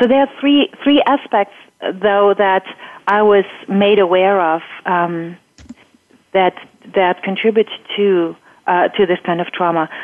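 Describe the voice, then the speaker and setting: A woman speaks with a German accent. She leaves long, frequent pauses. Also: medium pitch for a woman, ordinary pitch variation, fairly slow pace, very even loudness. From Germany. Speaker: EFT coach. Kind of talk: interview.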